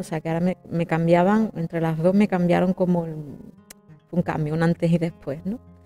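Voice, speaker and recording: With faint music in the background, a woman speaks at a fairly low pitch and a fairly slow pace, her intonation fairly even. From Jerez de la Frontera, Andalusia, Spain. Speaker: opera singer, soprano. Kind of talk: interview answer. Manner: conversational, hesitant. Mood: reflective, emotional. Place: home room. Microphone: lapel.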